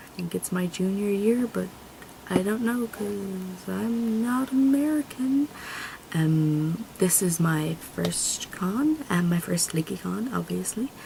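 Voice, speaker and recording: A woman speaks at a very slow pace with lively intonation while noticeable background noise runs behind her. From Ireland. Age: 20s. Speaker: vlogger, college student. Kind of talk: casual vlog introduction. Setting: home video recording on camera. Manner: rambling, fillers. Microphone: camera mic; laptop mic is poor.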